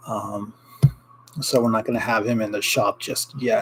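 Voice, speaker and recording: At a moderate pace and with fairly even intonation, a man talks through noticeable background noise. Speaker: ring maker and small business owner. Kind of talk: casual livestream chat. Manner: quieter than usual; many fillers and hesitations.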